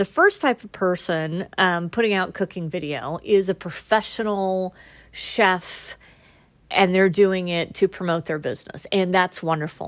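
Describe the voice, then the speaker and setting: On a very clean recording with a silent background, a woman with a normal speaking voice talks fairly slowly at medium pitch with ordinary pitch variation. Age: 50s. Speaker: podcast host. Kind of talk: casual monologue.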